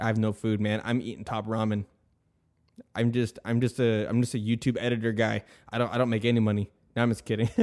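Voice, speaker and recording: A man speaks very fast at medium pitch with monotone, flat intonation. Long pauses come often. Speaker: podcast host and YouTube video editor. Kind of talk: casual chat. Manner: casual, filler-heavy (um, you know what I mean); stuttering at times.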